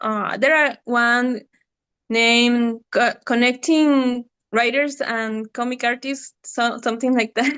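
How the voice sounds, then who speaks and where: A woman with a Spanish accent speaks high in pitch at a very slow pace. Her intonation is monotone and flat, and the background is quiet. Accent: non-native English, Spanish-speaking. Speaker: comic artist. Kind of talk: interview. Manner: halting.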